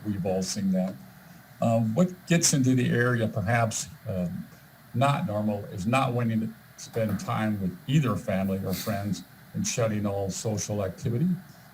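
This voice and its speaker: Moderately paced speech from a man, fairly low in pitch, somewhat breathy and with lively intonation. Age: 60s. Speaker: volunteer presenter with medical background. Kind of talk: presentation. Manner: halting, many fillers and repeats.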